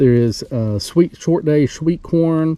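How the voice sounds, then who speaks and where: A man speaks with a Southern US accent at a fairly slow pace. His tone is dark and mellow, his pitch fairly high, with ordinary pitch variation. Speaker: homesteader. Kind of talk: casual vlog narration. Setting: outdoors.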